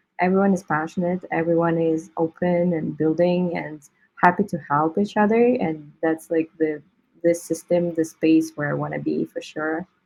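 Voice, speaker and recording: A woman with a non-native accent and fairly even intonation. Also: fairly low pitch for a woman, moderate pace. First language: not English. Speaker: crypto artist. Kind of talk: interview.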